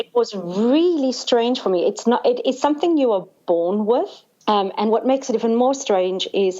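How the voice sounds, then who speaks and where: With a South African accent, a woman talks at a high pitch and a moderate pace, her intonation lively and her loudness very even. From South Africa, Cape Town. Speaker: sangoma, spiritual healer. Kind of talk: podcast interview.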